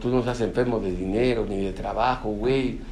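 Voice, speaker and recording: There is audible room echo and noticeable background noise as a man talks at a medium pitch. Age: 30s. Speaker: recovering alcoholic speaker at AA meeting. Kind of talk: testimony talk at support group meeting. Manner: casual, slang-heavy, animated.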